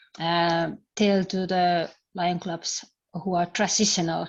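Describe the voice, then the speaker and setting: Speaking very slowly, a woman uses a fairly low pitch with monotone, flat intonation. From Finland. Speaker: service club leader. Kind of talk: online group discussion. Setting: video call. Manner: halting.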